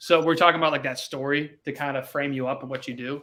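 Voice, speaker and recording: A man's bright, sharp, fairly high voice at a very fast pace, with fairly even intonation. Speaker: recruiting coach. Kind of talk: live stream coaching session.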